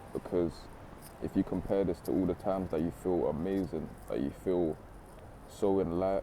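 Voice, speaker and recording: A man with a very deep, low pitch and a dark, mellow tone speaks with vocal fry and ordinary pitch variation. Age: 20s. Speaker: motivational speaker. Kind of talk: motivational talk. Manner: casual, conversational.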